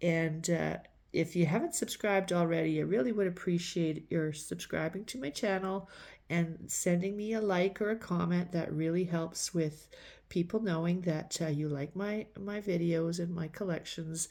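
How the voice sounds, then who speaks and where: A woman with a Canadian accent speaks at a moderate pace in a dark, mellow tone, fairly low in pitch, with fairly even intonation. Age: 60s. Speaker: thrift and vintage collecting vlogger. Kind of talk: casual haul video talk. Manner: halting with repeated words.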